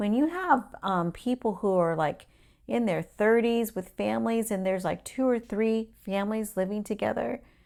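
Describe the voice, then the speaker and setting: Here a woman has an unremarkable speaking voice, pitched fairly high. She keeps a moderate pace with ordinary pitch variation. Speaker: show co-host. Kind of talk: casual chat.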